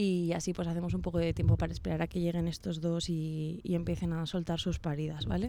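Hardly pausing at all, the talking runs along fairly quickly. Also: woman. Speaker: university radio host. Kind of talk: casual chat. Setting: radio studio. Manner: hesitant, many fillers.

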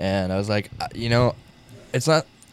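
At a moderate pace, a man speaks with a fairly low pitch. He has an unremarkable speaking voice. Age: 20s. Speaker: musician and radio host. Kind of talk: casual chat.

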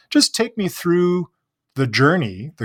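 Somewhat breathy and with lively intonation, a man with a Canadian accent is heard in a very clean recording with a silent background, the sound dry and close with no echo. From Canada. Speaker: podcast host. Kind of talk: casual interview.

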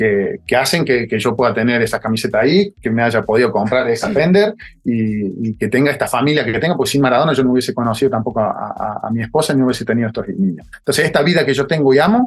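Lively intonation marks this man's speech. His pitch is medium and his pace very fast. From Córdoba, Argentina. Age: 40s. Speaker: former footballer. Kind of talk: interview. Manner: halting, repetitive.

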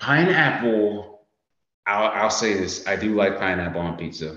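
This man speaks at a moderate pace with an American accent. His pitch is fairly low, and there is audible room echo. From United States. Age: 20s. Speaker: Navy sailor and social media creator. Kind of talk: casual chat.

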